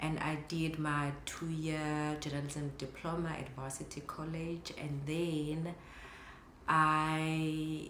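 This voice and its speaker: A woman with a very deep, low pitch, very slow and monotone, flat delivery, audible room echo and noticeable background noise. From South Africa, KwaZulu-Natal. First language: Zulu. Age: 30s. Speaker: photographer and vlogger. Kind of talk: casual vlog talk to camera.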